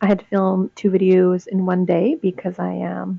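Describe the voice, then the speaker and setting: A woman speaks at a fairly slow pace. Her pitch is medium. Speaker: student. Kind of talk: casual talk to camera. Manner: monotone, disinterested.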